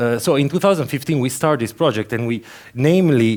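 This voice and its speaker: A man talks with an Italian accent. His intonation is lively. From Italy, Turin. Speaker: conference speaker. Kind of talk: conference talk. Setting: stage with audience. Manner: halting, with many fillers and repeats.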